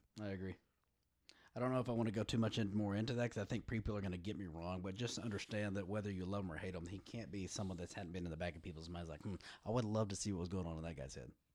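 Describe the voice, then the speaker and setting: With a Texan accent, a man talks at a very fast pace, his pitch fairly low and ordinary in variation. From West Texas. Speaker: podcast guest. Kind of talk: casual chat.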